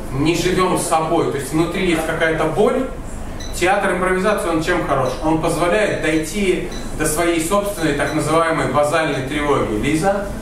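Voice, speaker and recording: A man's high-pitched voice at a moderate pace, with ordinary pitch variation, audible room echo and noticeable background noise. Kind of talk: lecture to a group. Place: cafe. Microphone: camera far.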